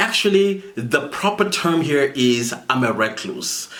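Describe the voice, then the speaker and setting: Very wide pitch swings mark this man's speech at a fairly slow pace. Noticeable background noise is present. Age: 40s. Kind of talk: casual talk to camera.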